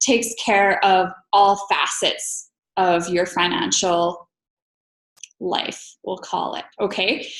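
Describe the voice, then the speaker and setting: This is a woman talking. She has a western Canadian accent. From Alberta, Canada. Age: 30s. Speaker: financial professional. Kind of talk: interview.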